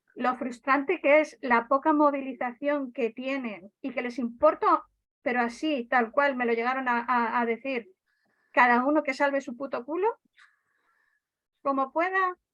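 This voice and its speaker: At a fairly slow pace, a woman speaks with a high pitch and ordinary pitch variation. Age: 60s. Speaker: night school student and activist. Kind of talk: casual group discussion. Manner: animated; halting.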